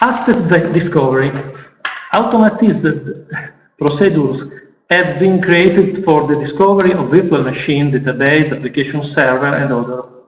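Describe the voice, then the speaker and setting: A fairly high-pitched man with an Italian accent, fairly quick in pace but broken by long, frequent pauses, with ordinary pitch variation and audible room echo. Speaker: IT specialist. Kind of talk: conference presentation. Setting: stage with audience. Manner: halting.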